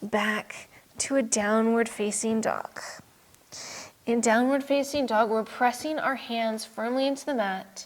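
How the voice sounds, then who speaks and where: Fairly even intonation and a fairly slow pace mark an ordinary speaking voice. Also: woman. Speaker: yoga instructor. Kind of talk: yoga class instruction. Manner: calm, instructional, guiding.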